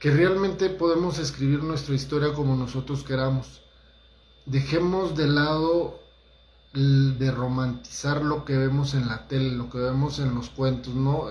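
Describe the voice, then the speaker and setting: Audible room echo and noticeable background noise fill the recording. The speaker takes a fairly slow pace. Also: man. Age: 40s. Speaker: holistic therapist giving talks. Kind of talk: motivational talk livestream. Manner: casual, conversational with hesitations.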